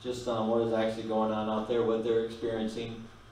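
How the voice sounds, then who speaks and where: The man's speech carries audible room echo, along with a little background noise. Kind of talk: prayer and announcements. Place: church.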